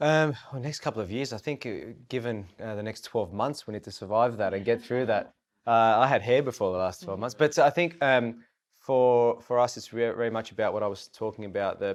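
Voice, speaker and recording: With an Australian accent, a man speaks at a fairly quick pace and medium pitch with ordinary pitch variation against a quiet background. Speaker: tech company managing director. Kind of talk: roundtable discussion.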